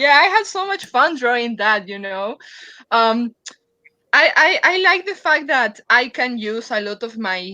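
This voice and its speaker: A woman with a non-native accent speaks fairly slowly at a fairly high pitch, her tone bright and sharp and her intonation lively. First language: not English. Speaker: comic artist. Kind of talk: casual chat. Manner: halting.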